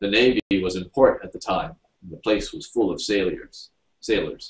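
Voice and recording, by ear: Natural-voiced reading aloud, the background quiet.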